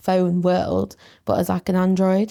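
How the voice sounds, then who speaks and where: A woman with an English accent speaks at a moderate pace in a dry, close sound with no echo. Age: 20s. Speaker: student mental health nurse. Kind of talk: casual chat.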